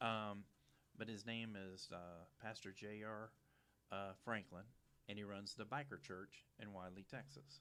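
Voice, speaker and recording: A man with a Louisiana accent speaks at a fairly slow pace and fairly low pitch in a bright, sharp tone with ordinary pitch variation. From Louisiana, St. Bernard Parish near New Orleans. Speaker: TV show host. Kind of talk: casual interview chat. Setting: studio at a church.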